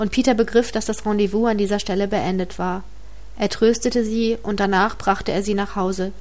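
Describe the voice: This is plain reading aloud. Intonation stays fairly even.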